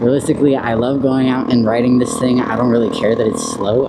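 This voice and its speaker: A man talks very fast at a medium pitch. Audible room echo and noticeable background noise surround him. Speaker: YouTube vlogger. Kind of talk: casual vlog. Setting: outdoors, riding a small motorbike. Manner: halting.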